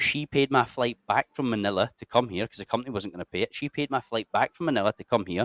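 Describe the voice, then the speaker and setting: Talking at a very fast pace with a Scottish accent, a man keeps a medium pitch and ordinary pitch variation in a dry, close sound with no echo. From Scotland, Cumbernauld. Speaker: army veteran and adventure YouTuber. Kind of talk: casual chat. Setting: podcast studio.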